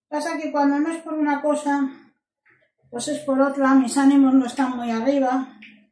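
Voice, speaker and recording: At a fairly slow pace, a woman speaks in a high voice, with room echo audible. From Spain. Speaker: cooking channel host. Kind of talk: cooking tutorial. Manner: animated.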